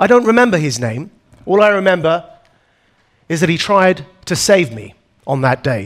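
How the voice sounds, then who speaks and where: A man with an Essex accent and a high voice speaks at a moderate pace, his pitch swinging very widely, with long, frequent pauses. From Essex, England. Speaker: anti-extremism activist. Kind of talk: keynote talk. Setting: stage with audience.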